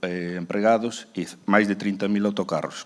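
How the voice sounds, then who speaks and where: Spoken at a moderate pace with a Spanish accent, the voice stays monotone and flat. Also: man. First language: Spanish or Galician (speaking Portuguese). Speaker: bus company director. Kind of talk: panel discussion. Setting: stage with audience.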